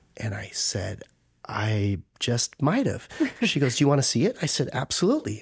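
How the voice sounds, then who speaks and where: A man with an American accent, medium pitch, lively intonation, a moderate pace and a somewhat breathy sound. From Minnesota, US. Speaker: wedding photographer. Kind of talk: casual interview. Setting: studio.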